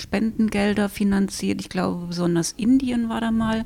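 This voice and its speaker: The speaker has a normal speaking voice. The pace is moderate, with ordinary pitch variation. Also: woman. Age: 50s. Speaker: librarian. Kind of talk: casual book review chat.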